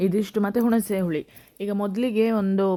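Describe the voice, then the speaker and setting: The woman's tone is dark and mellow. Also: very clean recording, silent background. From coastal Karnataka (Dakshina Kannada / Udupi area). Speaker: cooking vlogger and restaurant owner. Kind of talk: travel vlog narration; cooking tutorial.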